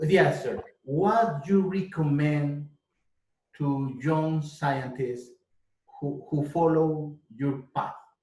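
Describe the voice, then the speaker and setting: A man with a fairly high pitch speaks at a very slow pace with long, frequent pauses, his dark, mellow tone somewhat breathy and his pitch varying in an ordinary way. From Colombia. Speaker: interviewer, business CEO. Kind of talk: interview.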